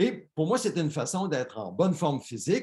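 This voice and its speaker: A man's fairly high, somewhat breathy voice. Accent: Quebec. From Quebec. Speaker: pastor. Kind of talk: sermon.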